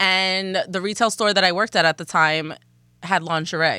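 Recorded very cleanly against a silent background, a woman speaks at a moderate pace in an ordinary speaking voice, medium in pitch with fairly even intonation. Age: 30s. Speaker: podcast co-host. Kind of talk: casual chat.

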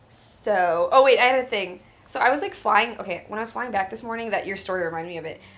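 Over noticeable background noise, a woman talks at a very fast pace with a fairly high pitch, ordinary pitch variation and big swings in loudness. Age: 20s. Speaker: comedian. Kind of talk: casual chat.

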